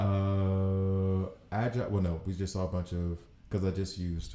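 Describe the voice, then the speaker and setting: A man with an American accent speaks at a very deep, low pitch. His voice is somewhat breathy, with a dark, mellow tone. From US South, Alabama. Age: 40s. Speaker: gaming streamer. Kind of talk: live gameplay commentary. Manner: casual, thinking aloud.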